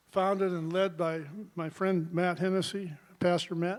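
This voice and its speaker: Fairly slow and high-pitched, a man speaks with fairly even intonation. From US Pacific Northwest, Portland, Oregon. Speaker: award honoree. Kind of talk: acceptance speech. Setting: event hall with live audience, live streamed. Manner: casual, hesitant with fillers.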